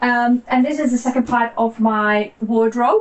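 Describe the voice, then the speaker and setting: A woman speaks over noticeable background noise. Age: 60s. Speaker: nutritionist. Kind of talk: home tour, talk to camera.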